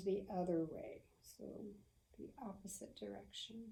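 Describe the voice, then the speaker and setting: A woman with an American accent speaks very slowly at medium pitch, her tone dark, mellow, calm and gentle and somewhat breathy, with audible room echo. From US South. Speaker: yoga instructor. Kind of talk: guided yoga class. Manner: slow, gentle.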